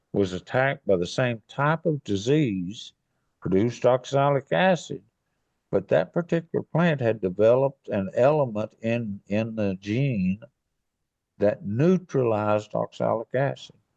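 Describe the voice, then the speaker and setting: Against a quiet background, a man with a medium pitch and a dark, mellow tone talks at a fairly slow pace with lively intonation. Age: 80s+. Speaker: retired forester. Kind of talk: podcast interview.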